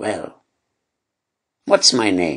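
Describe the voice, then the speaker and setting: A man puts on a character voice at a medium pitch. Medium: read story. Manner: sly, taunting.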